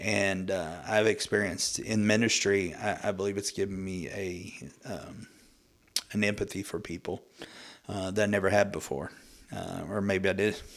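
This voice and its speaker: With an American accent, a man speaks at a moderate pace in a fairly low, monotone, flat voice. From Oklahoma (Muskogee). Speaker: pastor. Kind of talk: testimony.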